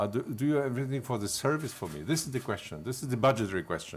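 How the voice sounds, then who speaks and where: Talking very fast, a man speaks with vocal fry. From Silesia, Poland. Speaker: panel moderator and member of parliament. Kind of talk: panel discussion. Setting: conference panel with audience. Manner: halting, hesitant.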